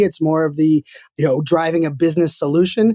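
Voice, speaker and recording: A man with a fairly high pitch talks in an unremarkable speaking voice, his intonation fairly even. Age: 30s. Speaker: marketing speaker. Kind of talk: interview.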